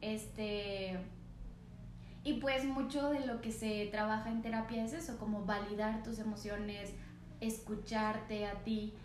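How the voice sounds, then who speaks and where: There is noticeable background noise and audible room echo as a woman speaks at a fairly slow pace with fairly even intonation. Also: fairly high pitch for a woman. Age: 20s. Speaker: podcast co-host. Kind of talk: casual chat. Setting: no studio, ambient sounds.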